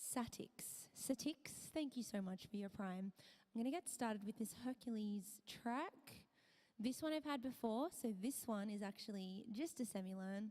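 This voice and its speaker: A woman's fairly high, somewhat breathy voice at a moderate pace, with ordinary pitch variation. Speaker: music streamer. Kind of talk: casual live-stream chat.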